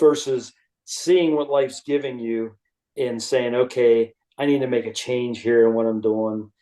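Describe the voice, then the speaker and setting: A man talks in a normal speaking voice at medium pitch. His pace is fairly slow and his intonation fairly even. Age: 60s. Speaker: retired executive and author. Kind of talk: casual interview chat.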